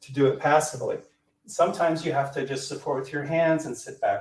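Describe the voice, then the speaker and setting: A man with an American accent talks at a very fast pace. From US, rural Colorado. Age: 60s. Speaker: yoga instructor. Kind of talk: interview, explaining exercises.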